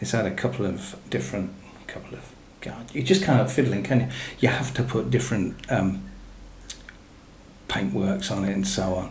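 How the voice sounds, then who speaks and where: A man with an English accent mumbles at a moderate pace, with very wide pitch swings and long, frequent pauses. Noticeable background noise and audible room echo surround his voice. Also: fairly low pitch for a man. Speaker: gaming YouTuber. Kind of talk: gameplay commentary. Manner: mumbling; casual.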